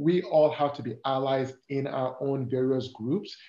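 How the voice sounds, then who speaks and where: In a somewhat breathy voice with a dark, mellow tone, a man with an African accent speaks amid audible room echo. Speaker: corporate diversity and inclusion lead. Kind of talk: interview conversation. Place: home room. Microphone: video call.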